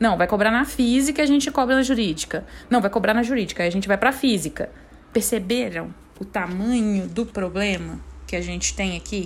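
A woman speaks at medium pitch with vocal fry and an animated tone. Her pace is fairly quick. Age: 30s. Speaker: podcast host, tax specialist. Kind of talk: casual explainer monologue.

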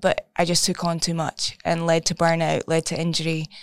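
A woman speaks with a Scottish accent. Her pitch is fairly low. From Scotland. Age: 20s. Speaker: therapist. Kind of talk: casual chat.

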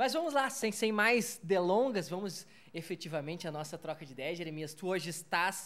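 In a very clean recording with a silent background, a man with a high pitch talks at a moderate pace with lively intonation. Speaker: podcast host. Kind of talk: casual interview. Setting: bar recording space.

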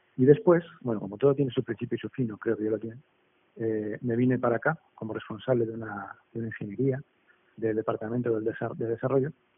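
A man speaks at a fairly quick pace with a medium pitch and fairly even intonation. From Basque Country, Spain. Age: 40s. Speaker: entrepreneur. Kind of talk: interview. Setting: remote call. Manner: halting, many repetitions.

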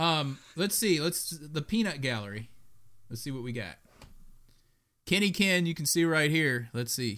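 Loud and bright, a man speaks with a sharp tone at a fairly high pitch for a man, with lively intonation. His pace is fairly slow, broken by long, frequent pauses. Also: very clean recording, silent background. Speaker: sports podcast co-host. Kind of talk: casual chat. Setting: live streamed podcast.

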